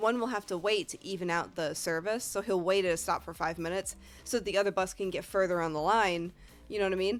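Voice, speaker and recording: Speaking very fast, this woman keeps to a medium pitch. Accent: Northeastern US. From US Northeast. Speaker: video game streamer. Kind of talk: casual storytelling to stream chat. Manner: animated.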